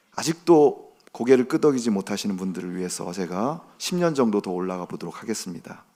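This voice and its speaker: At a moderate pace, a man with a dark, mellow tone and fairly low pitch uses lively intonation on a very clean recording with a silent background. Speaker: pastor. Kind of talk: sermon. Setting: church.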